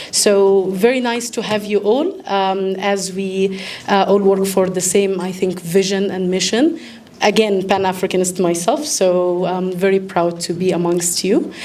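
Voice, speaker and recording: With an Egyptian accent, a woman speaks at a fairly slow pace in a medium pitch with fairly even intonation, amid audible room echo and noticeable background noise. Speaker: event host, medical doctor and consultant. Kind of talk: formal welcome speech. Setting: live event with audience.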